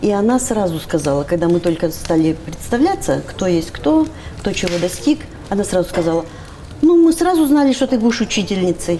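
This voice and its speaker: Over noticeable background noise, a woman at medium pitch speaks at a moderate pace in an animated tone, her pitch swinging very widely. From Russian Far East, Primorye (Dalnegorsk). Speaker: university lecturer in philology. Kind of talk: casual interview chat. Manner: animated, artistic.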